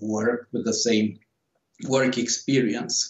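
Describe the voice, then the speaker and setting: A man with a Romanian accent, medium pitch, and a moderate pace. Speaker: author. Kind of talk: interview. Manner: halting.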